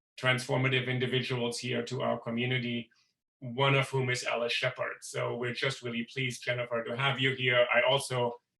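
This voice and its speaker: Speaking fairly quickly with a European accent, a man keeps a monotone, flat delivery at medium pitch. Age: middle-aged. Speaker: professor and event host. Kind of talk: event introduction. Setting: video call.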